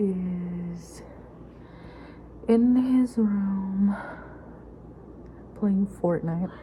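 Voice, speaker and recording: Quiet, very slow speech with fairly even intonation and long, frequent pauses over noticeable background noise. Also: woman. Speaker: stay-at-home mom vlogger. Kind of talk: casual vlog narration. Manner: quiet, hushed.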